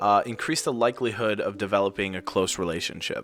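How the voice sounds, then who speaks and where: Music sounds in the background. Over it, a man talks with a fairly low pitch. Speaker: student podcast host. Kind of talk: interview.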